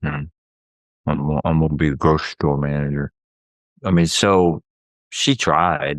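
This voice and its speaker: A man with a Southern US accent speaks at a very deep, low pitch and a fairly slow pace, his intonation fairly even. He leaves long, frequent pauses, and the sound is dry and close with no echo. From US South. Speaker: therapist, podcast co-host. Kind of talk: casual chat.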